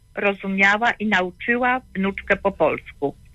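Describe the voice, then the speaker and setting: Very slowly, a woman talks at medium pitch with fairly even intonation. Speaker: caller, grandmother. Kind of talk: call-in question. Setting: phone call.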